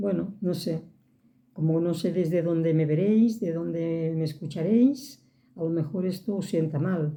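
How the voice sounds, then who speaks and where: At a fairly slow pace, a woman speaks with a somewhat breathy, dark, mellow tone, a fairly low pitch and ordinary pitch variation. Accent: Catalan. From Catalonia. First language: Catalan (speaking Spanish). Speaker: vlogger. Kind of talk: casual monologue to camera.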